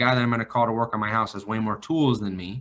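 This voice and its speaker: A man with an American accent speaks in an ordinary speaking voice at a medium pitch, keeping his intonation fairly even. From northern California, Vacaville. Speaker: financial advisor. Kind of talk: podcast interview.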